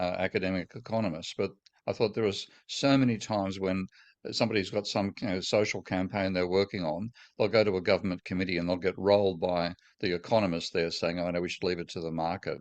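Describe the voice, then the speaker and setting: With an Australian accent, a man with a very deep, low pitch speaks very fast and in fairly even intonation over a quiet background. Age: 70s. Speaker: economics professor. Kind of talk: interview conversation. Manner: halting, many false starts.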